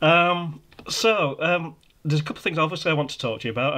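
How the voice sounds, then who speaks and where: A man with a Yorkshire accent, at a fairly quick pace. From Yorkshire, northern England. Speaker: podcast host. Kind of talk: casual interview. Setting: video call.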